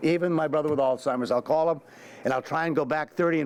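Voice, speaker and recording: Here a man is talking. The intonation he uses is fairly even. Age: 70s. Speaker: panelist at a policy event, family caregiver. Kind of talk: panel discussion. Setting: event room with audience. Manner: halting, many fillers and restarts.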